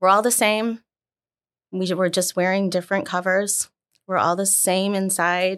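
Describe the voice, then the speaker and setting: A woman with an American accent speaks at medium pitch, the sound dry and close with no echo. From US Midwest, Chicago northwest suburbs. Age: 40s. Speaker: sales executive. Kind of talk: casual interview.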